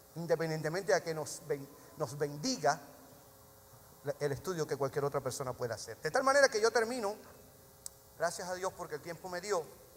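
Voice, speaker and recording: Over noticeable background noise, a man speaks in a fairly high pitch. His pace is fairly quick, broken by long, frequent pauses. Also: lively intonation. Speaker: pastor. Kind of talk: sermon. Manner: fast.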